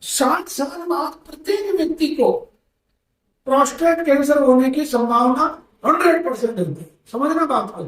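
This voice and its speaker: The loudness swings widely from moment to moment. The intonation is lively. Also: man, extremely high pitch for a man. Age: 60s. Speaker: ayurvedic healer. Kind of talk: health talk to audience. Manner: conversational, with fillers.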